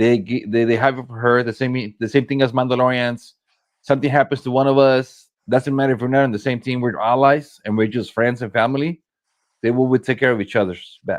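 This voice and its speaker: Here a man talks at medium pitch and a fairly quick pace. His intonation stays fairly even. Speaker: paintball player. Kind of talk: casual chat. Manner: loud.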